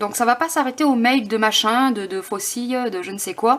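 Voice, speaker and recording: A woman with a high voice speaks fairly slowly, her pitch varying in an ordinary way. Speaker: tarot card reader. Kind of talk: tarot reading. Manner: halting.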